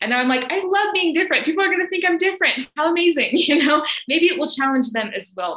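The raised, projected voice rushes at a very fast pace with lively intonation and hardly any pauses. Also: woman, extremely high pitch for a woman. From US South, Alabama. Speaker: vegan coach. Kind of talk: casual interview chat.

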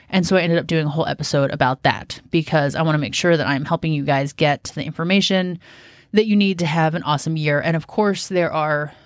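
With a Pacific Northwest accent, a woman speaks at a very fast pace in a very deep, low voice with fairly even intonation, on a very clean recording with a silent background. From US, Washington State. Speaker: podcast host, gardener. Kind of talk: solo podcast monologue. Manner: casual.

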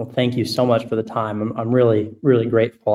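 The man speaks at a medium pitch with monotone, flat intonation. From Arkansas. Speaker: caller, startup founder. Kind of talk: grateful call-in question.

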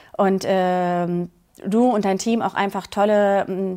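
A woman's medium-pitched voice, monotone and flat in intonation, in a very clean recording with a silent background. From Berlin, Germany. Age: 40s. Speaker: coaching client. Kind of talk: interview testimony.

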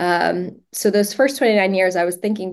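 Against a quiet background, a woman talks at a medium pitch with ordinary pitch variation in an unremarkable speaking voice. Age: 30s. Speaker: ALS patient and social media advocate. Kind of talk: casual interview.

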